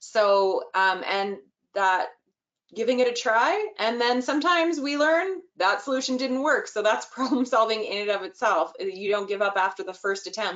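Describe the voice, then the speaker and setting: This is an unremarkable speaking voice. It moves at a moderate pace with lively intonation. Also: woman, fairly high pitch for a woman. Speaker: early childhood inclusion trainer. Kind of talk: webinar presentation.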